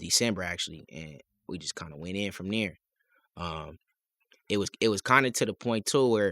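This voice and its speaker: Speaking at a moderate pace with long, frequent pauses, a man uses a fairly low pitch, a bright, sharp tone and ordinary pitch variation, in a dry, close sound with no echo. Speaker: rapper and producer. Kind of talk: casual chat.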